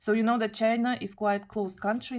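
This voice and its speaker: A woman speaks with a non-native accent in a monotone, flat intonation. The recording is very clean, with a silent background. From Kazakhstan. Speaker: tarot reader. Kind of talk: tarot reading monologue. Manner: halting, with self-corrections.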